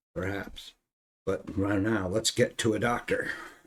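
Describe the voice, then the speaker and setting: Using a put-on character voice, a man speaks raspily at a moderate pace and a fairly low pitch. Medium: actual play. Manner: brusque.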